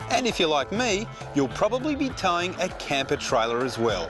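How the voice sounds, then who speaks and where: A man talks with an Australian accent while music plays in the background. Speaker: TV presenter. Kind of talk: product promotion read.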